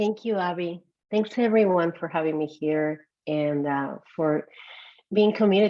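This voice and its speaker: A woman speaks at a moderate pace in a dark, mellow tone, with ordinary pitch variation. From Peru. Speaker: psychologist and executive coach. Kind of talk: webinar talk.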